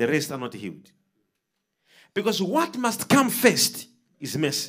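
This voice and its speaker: A man with very wide pitch swings at a fairly slow pace, over a quiet background. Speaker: preacher. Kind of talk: sermon. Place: studio. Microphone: handheld.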